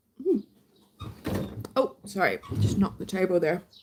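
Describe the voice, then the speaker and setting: Music plays behind a woman whose voice sits at a medium pitch. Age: middle-aged. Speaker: YouTube creator. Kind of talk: casual live-stream chat.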